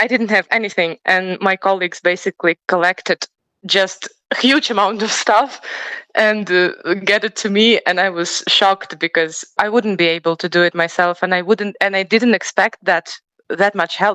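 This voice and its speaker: In a Ukrainian accent, a woman speaks at a medium pitch with a bright, sharp tone. Her delivery is moderate in pace with fairly even intonation, and the sound is dry and close with no echo. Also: very even loudness. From Ukraine. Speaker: professional choir singer. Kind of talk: interview. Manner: halting.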